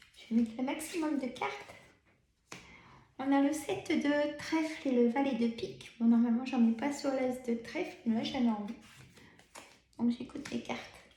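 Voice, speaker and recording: This woman talks at a moderate pace with long, frequent pauses. Her voice is high in pitch with ordinary pitch variation and a dark, mellow tone. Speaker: tarot card reader. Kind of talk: tarot reading. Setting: filmed video with camera. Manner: many pauses.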